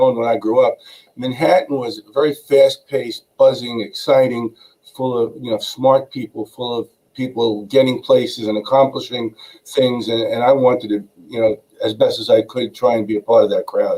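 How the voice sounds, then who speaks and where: A man with a Brooklyn accent talks at a moderate pace. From New York, Brooklyn. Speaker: attorney. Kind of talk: interview.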